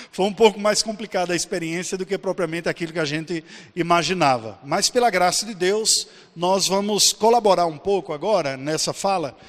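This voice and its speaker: With a high pitch and ordinary pitch variation, a man talks at a moderate pace. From Brazil, Paraíba (Campina Grande). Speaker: pastor and missionary. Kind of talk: conference talk.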